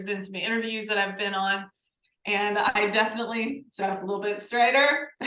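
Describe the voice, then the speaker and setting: A woman's fairly high-pitched voice with a slight Southern US accent, fairly even intonation and audible room echo. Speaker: podcast co-host, learning program creator. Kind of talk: casual conversation.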